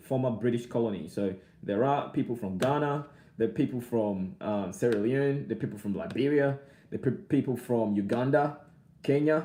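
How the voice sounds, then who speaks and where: Fairly quick and lively in intonation, a man speaks at medium pitch with a dark, mellow tone. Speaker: vlogger. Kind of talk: casual live stream chat. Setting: live stream. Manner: repetitive, halting.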